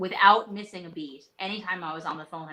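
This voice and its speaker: In an American accent, a woman speaks with ordinary pitch variation. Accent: Texas twang that comes out at times. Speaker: leadership coach. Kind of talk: live interview. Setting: live video stream.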